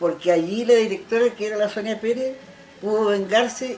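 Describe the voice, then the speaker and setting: Over noticeable background noise, a woman with a fairly high pitch speaks at a moderate pace. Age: 70s. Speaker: retired schoolteacher, former folk group member. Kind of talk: interview. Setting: at her home.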